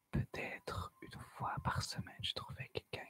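Here a woman whispers. Her pace is fairly slow. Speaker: ASMR storyteller. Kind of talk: horror story narration. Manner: soft-spoken. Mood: eerie, suspenseful. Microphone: studio mic.

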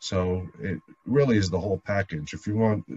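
This man's pitch is very deep and low, with ordinary variation. His voice is somewhat breathy. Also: dry sound with no echo. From New Jersey, Jersey City; New Jersey. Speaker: lawyer and city councilman; lawyer, city councilman. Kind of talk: interview. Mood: warm, enthusiastic. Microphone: video call.

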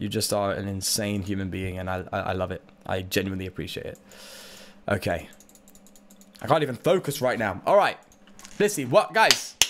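A man with a British accent, fairly low-pitched, talking at a fairly quick pace with long, frequent pauses, big swings in loudness, ordinary pitch variation and light background noise. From Britain. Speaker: Pokemon card game streamer. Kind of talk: casual livestream chat while gaming. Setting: live stream, reading chat. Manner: chatty, upbeat, animated. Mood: excited, grateful. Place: home room.

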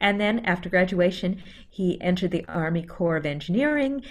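Her intonation is lively. The woman moves at a fairly quick pace. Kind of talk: first-person historical storytelling presentation. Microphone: video call.

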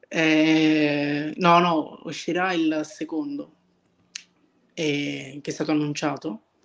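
At a very slow pace with long, frequent pauses, a man with a fairly high pitch speaks in a monotone, flat intonation. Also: quiet background. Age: 20s. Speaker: visual effects artist; interview guest. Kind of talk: casual interview. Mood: relaxed, content. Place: kitchen. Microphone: video call.

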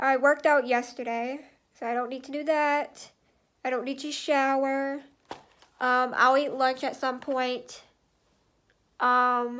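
A woman speaks in a high voice with a monotone, flat delivery. Her fairly slow speech is broken by long, frequent pauses. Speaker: vlogger. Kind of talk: casual vlog chat. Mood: relaxed, chatty. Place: home room. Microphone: phone near.

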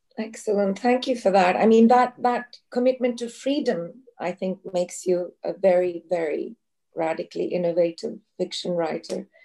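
Hardly pausing, a woman speaks with a Turkish accent in a dark, mellow tone. Her pitch is medium and varies in an ordinary way. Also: moderate pace, quiet background. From Turkey. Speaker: event moderator. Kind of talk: moderated Q&A. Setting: video call. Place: home room. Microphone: video call.

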